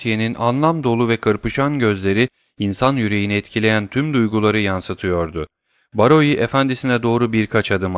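This is plain reading aloud with ordinary pitch variation and a quiet background.

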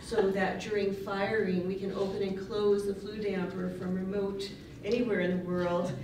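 Amid noticeable background noise and audible room echo, a woman is speaking. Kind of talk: conference talk. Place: hall.

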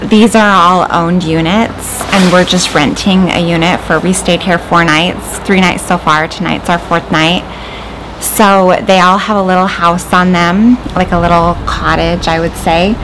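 With music in the background, a woman speaks at a fairly low pitch and a fairly slow pace, her intonation fairly even and her loudness very even. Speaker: RV travel vlogger. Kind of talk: casual vlog chat. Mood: cheerful, relaxed. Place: garden. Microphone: phone near.

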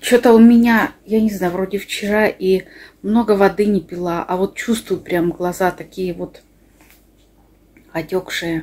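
A woman's fairly slow speech with fairly even intonation and long, frequent pauses. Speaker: village life vlogger. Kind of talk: casual vlog chat. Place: kitchen. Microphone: phone near.

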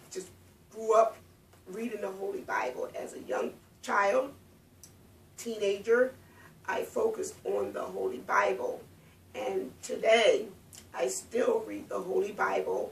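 The speech moves at a fairly slow pace with long, frequent pauses, big swings in loudness and audible room echo. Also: woman. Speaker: speaker. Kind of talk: personal testimony. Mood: calm, earnest. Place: home room. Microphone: camera far.

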